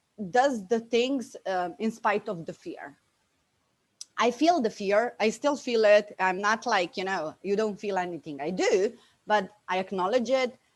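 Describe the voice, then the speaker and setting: A woman speaks at a fairly slow pace with a Bosnian accent. Her fairly high pitch moves in lively intonation. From Slovenia, Bosnian immigrant family. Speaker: business coach. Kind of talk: interview testimony. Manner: animated.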